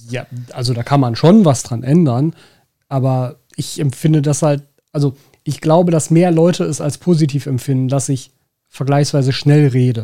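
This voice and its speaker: A man with a Ruhr accent speaks in a dark, mellow tone. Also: fairly high pitch for a man, ordinary pitch variation, moderate pace. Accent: Ruhr area German. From Ruhr area, Germany. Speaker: podcast host, aquascaping shop owner. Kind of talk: casual chat.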